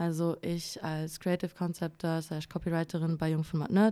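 A woman's medium-pitched voice with a dark, mellow tone at a moderate pace, in a very clean recording with a silent background. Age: 20s. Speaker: creative copywriter and former journalist. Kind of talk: casual chat. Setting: studio.

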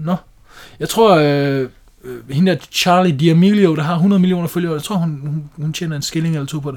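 With fairly even intonation and a plain, everyday voice, a man talks at a moderate pace and a fairly high pitch. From Denmark. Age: 20s. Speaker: podcast host, house painter. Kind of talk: casual chat.

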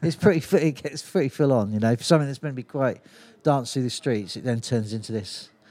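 A man speaks at a very fast pace with a Cornish accent. His tone is dark and mellow. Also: medium pitch for a man, ordinary pitch variation. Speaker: festival organiser and brewer. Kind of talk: casual chat. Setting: on location at a brewery. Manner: animated storyteller.

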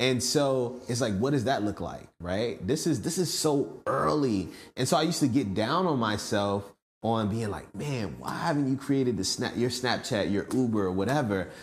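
A man speaks in a normal speaking voice at a medium pitch. His pace is moderate. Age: 20s. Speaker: entrepreneur. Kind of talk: interview.

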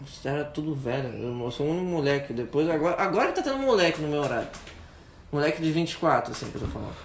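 A man speaks at a very fast pace, fairly high in pitch for a man, with ordinary pitch variation. Noticeable background noise and audible room echo surround him. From Rio de Janeiro, Brazil. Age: 20s. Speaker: podcast co-host. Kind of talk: casual chat.

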